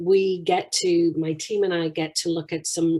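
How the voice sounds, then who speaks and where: Talking at a moderate pace with a British accent, a woman has a fairly low pitch, a dark, mellow tone and monotone, flat intonation. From UK. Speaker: financial services executive. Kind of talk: interview.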